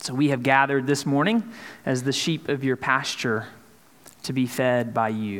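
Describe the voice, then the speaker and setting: With a Southern US accent, a man speaks at a moderate pace and medium pitch, his pitch varying in an ordinary way. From Mississippi. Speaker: pastor. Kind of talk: sermon. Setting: church.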